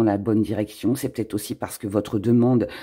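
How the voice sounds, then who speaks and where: A dark, mellow tone at a moderate pace. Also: man. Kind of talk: tarot reading video. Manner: hesitant, many fillers.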